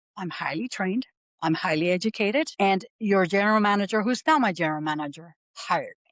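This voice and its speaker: A woman with a Puerto Rican accent talks at a fairly quick pace with lively intonation and a medium pitch. Her voice has a dry, close sound with no echo. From Puerto Rico, San Juan. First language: Spanish. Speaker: aviation professional, military veteran. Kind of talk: podcast interview.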